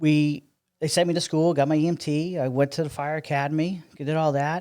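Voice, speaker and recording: Monotone and flat, a man with an American accent speaks in a dark, mellow tone at a fairly high pitch and moderate pace on a very clean recording with a silent background. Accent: Massachusetts accent noticed by Texans. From Massachusetts, US Northeast. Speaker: city public works director. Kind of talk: podcast interview. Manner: conversational with many fillers.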